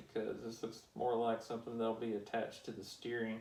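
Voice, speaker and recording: Medium-pitched male speech with audible room echo. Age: adult. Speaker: toy building hobbyist youtuber. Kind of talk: casual build tutorial.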